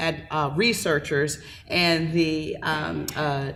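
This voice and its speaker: With an American accent, a woman speaks at a fairly low pitch amid audible room echo. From Milwaukee, Wisconsin. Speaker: public health program director. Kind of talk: panel talk. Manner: quiet.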